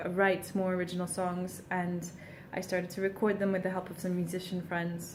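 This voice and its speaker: A woman's voice is heard with audible room echo. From Portugal. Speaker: singer-songwriter. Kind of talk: casual vlog monologue. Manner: frequent ums, hesitant.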